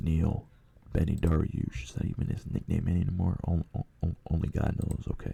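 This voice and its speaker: A man whose pitch is very deep and low talks at a moderate pace, his intonation fairly even, as noticeable background noise runs behind him. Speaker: MMA podcast host. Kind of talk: casual solo podcast commentary. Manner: halting, stammering.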